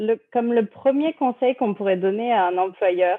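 Moderate in pace, a woman talks. Hers is an unremarkable speaking voice. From France. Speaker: marketing and communications manager at an immigration firm. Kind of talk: interview.

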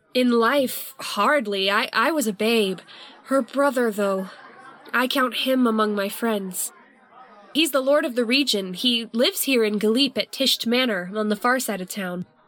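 Over crowd noise, a woman with a fairly high pitch and ordinary pitch variation speaks at a fairly slow pace. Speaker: tavern keeper character voice.

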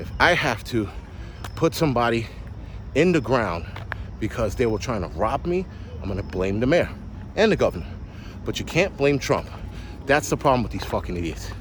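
Noticeable background noise sits under animated speech at a fairly quick pace, with very wide pitch swings and long, frequent pauses. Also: man, medium pitch for a man. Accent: New York. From New York City. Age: 40s. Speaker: podcast host, prepper. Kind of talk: solo rant monologue.

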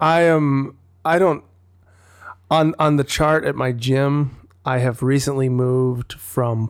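Someone with an American accent talks at a very slow pace with fairly even intonation. The recording is very clean, with a silent background. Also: man. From Wisconsin. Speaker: singer-songwriter and podcaster. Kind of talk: casual chat. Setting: home recording.

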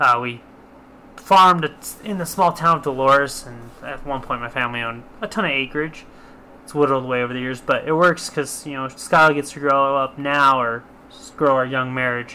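With an American accent, a man with an unremarkable speaking voice talks at a fairly quick pace and fairly high pitch, with ordinary pitch variation and big swings in loudness. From southwest Colorado. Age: 20s. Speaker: podcast host and real estate investor. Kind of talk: casual chat.

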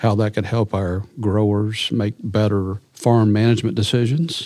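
With hardly any pauses, a man talks in a dark, mellow tone at a fairly low pitch, keeping his intonation fairly even. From US South, eastern Arkansas. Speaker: agricultural products manager. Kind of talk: interview. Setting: studio.

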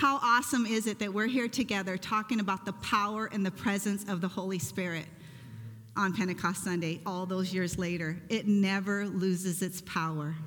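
A woman's medium-pitched voice at a moderate pace, with ordinary pitch variation. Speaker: pastor. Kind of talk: sermon. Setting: church. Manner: loud.

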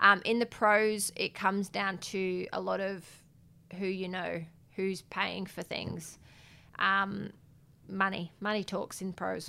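Very slowly, with long, frequent pauses, a woman with an Australian accent speaks at a medium pitch in a bright, sharp tone and monotone, flat intonation. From South Australia, Adelaide. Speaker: professional boxer. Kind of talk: interview.

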